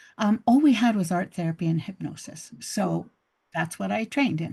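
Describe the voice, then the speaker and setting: Against a quiet background, a woman speaks at a medium pitch with a somewhat breathy, dark, mellow tone and lively intonation. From Canada. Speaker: couples therapist. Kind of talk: interview. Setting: video call.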